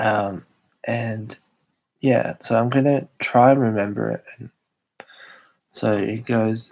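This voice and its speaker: A man with an Australian accent at a very slow pace, with long, frequent pauses and big swings in loudness. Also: medium pitch for a man, fairly even intonation. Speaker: YouTuber hosting live chat stream. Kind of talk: casual live stream chat. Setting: live stream.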